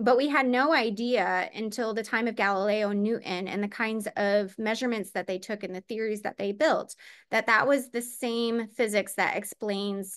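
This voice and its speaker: A woman's fairly high voice with ordinary pitch variation, hardly any pauses and a quiet background. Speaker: physicist presenting a webinar talk. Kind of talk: lecture. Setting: online webinar. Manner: fast; many filler words (um, uh).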